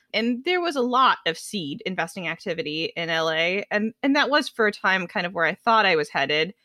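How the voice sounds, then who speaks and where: In an American accent, a woman with a bright, sharp tone and medium pitch speaks at a fairly quick pace with lively intonation, in a dry, close sound with no echo on a very clean recording with a silent background. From US West Coast, Los Angeles. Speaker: venture capital investor. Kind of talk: casual interview.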